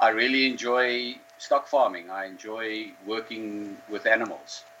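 Noticeable background noise surrounds a man speaking at a medium pitch. His delivery is monotone and flat, at a fairly slow pace. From South Africa, Karoo. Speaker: sheep farmer. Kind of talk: interview. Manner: hesitant, many fillers.

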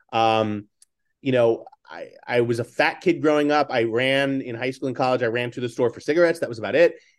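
Against a quiet background, a man with an American accent and an unremarkable speaking voice talks at a fairly quick pace and medium pitch, with fairly even intonation and big swings in loudness. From New York City, Staten Island. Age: 50s. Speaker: author and entrepreneur. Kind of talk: interview.

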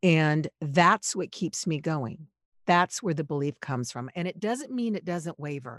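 A woman with an American accent, fairly low in pitch, lively in intonation, at a fairly slow pace, in a dry, close recording with no echo, very clean with a silent background. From Los Angeles, US. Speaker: podcast producer and voiceover artist. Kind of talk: interview conversation.

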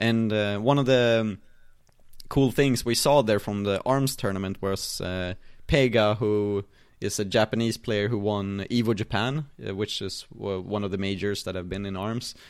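With fairly even intonation and a fairly low pitch, a man talks at a moderate pace. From Sweden. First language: Swedish. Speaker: esports player and caster, streamer, podcast host. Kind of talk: casual interview chat. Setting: remote call.

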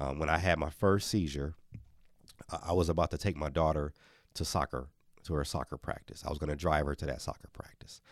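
Speaking at a fairly quick pace yet with long, frequent pauses, a man with an American accent uses a very deep, low pitch, vocal fry and fairly even intonation in a very clean recording with a silent background. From Milwaukee, Wisconsin, US. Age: 40s. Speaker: children's author, former mascot. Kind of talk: interview.

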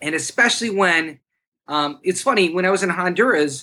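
A bright, sharp tone at a moderate pace. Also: man. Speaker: bivocational church planter. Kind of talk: casual chat. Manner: animated.

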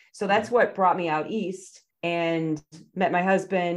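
A woman with an Upper Midwest accent talks at a fairly low pitch. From southern Wisconsin, Oconomowoc. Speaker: family physician and medical educator. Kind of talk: casual chat. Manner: halting.

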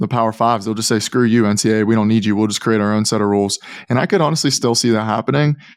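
The man talks very fast, his intonation fairly even, over a quiet background. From Pittsburgh, Pennsylvania, US. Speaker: NIL expert, former college basketball player. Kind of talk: podcast interview.

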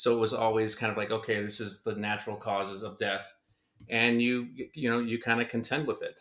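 Bright and sharp in tone, a man talks at a fairly quick pace with monotone, flat intonation. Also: medium pitch for a man. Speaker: guest, friend of host. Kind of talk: casual conversation.

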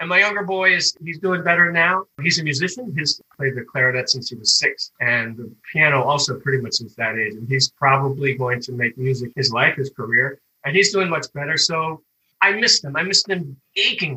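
With an American accent and lively intonation, a man speaks at a fairly high pitch in a dry, close sound with no echo. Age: 60s. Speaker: grocery store worker. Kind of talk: interview. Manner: halting.

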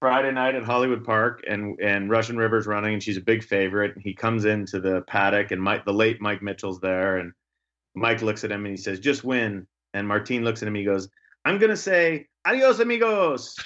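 Here is a man with a plain, everyday voice, pitched fairly low. His intonation stays fairly even as he talks at a fairly quick pace. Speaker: podcast host. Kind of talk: casual chat. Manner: chatty, friendly, joking.

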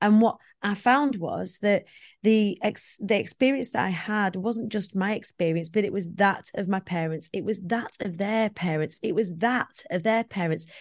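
A woman with a Lancashire accent, medium in pitch, at a moderate pace and with ordinary pitch variation. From northwest England, Preston. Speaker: motivational speaker. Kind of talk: casual chat.

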